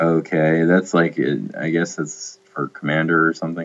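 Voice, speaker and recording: A man speaks with a very deep, low pitch. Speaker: gaming video creator. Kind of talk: casual commentary while drafting cards. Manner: casual, hesitant with fillers.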